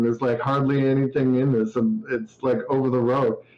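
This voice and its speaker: A man with a Canadian accent speaks at medium pitch and a moderate pace. He has a plain, everyday voice. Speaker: indie game developer. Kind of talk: casual interview chat.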